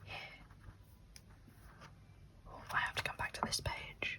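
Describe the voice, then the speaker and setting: A woman whispers in a relaxed tone, leaving long, frequent pauses. Her loudness swings widely over noticeable background noise. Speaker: ASMR content creator and illustrator. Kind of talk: ASMR reading of a museum guide, casual talk to camera. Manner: soft, quiet, relaxed.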